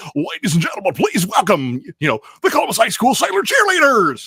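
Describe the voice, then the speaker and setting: A man puts on a character voice, pitched high. He talks at a fairly quick pace. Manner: cheesy, boastful jock.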